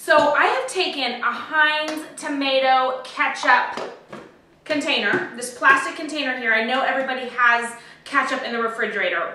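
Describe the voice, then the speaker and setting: A woman projects a raised voice at a moderate pace with ordinary pitch variation. Audible room echo can be heard. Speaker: home cooking host. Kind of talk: tutorial. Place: kitchen. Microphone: camera far.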